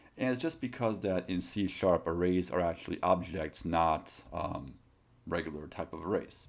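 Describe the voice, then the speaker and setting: This man's pitch is very deep and low, with ordinary variation. He has a non-native accent and a moderate pace. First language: not English. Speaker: college programming instructor. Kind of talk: tutorial. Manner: casual, with many fillers.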